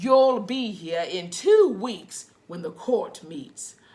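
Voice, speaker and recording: A woman puts on a booming character voice at medium pitch, her intonation lively and her loudness swinging widely. She speaks at a very slow pace. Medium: read story. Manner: booming, stern.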